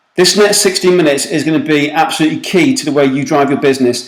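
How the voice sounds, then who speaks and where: A man with a British accent and a fairly high pitch speaks over noticeable background noise. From UK. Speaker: recruitment marketing consultant. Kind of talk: webinar presentation. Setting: online webinar call. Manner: fast; animated.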